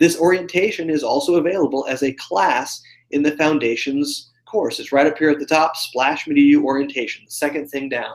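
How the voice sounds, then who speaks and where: A man talks fairly quickly with hardly any pauses, using a normal speaking voice. His pitch is fairly high, with ordinary pitch variation. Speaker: online course dean giving webinar tour. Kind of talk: live webinar walkthrough. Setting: live video hangout.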